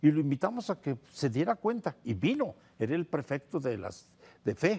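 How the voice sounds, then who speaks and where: This man has a fairly high pitch and a dark, mellow, somewhat breathy tone. His pitch swings very widely. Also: moderate pace, dry, close sound with no echo. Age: 70s. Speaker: priest and theologian. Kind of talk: TV interview.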